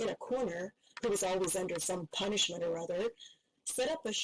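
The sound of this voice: The clip features an unforced reading voice. Nothing else is noted.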